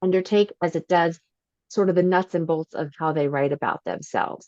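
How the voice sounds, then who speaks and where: This woman's voice is at a medium pitch. The sound is dry and close, without any echo. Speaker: resume writer. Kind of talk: expert Q&A on video call. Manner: fast; animated.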